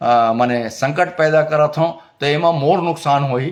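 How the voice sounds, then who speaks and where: The man's voice sits fairly high. Its pitch varies in an ordinary way. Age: 60s. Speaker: filmmaker and cultural activist. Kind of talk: opinion monologue. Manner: halting, with many fillers.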